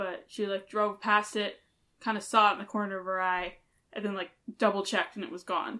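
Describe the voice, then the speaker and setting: At a fairly quick pace, a woman with an American accent speaks in a bright, sharp tone with medium pitch and fairly even intonation against a quiet background. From Hutchinson, Kansas and Chicago suburbs. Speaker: podcast co-host. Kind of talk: casual chat.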